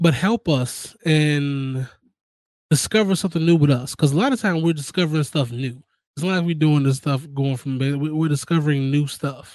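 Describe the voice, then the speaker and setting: A man speaks with an ordinary speaking voice, his pitch fairly high. He keeps a moderate pace with ordinary pitch variation. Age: 30s. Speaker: gaming podcast host. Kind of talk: casual chat.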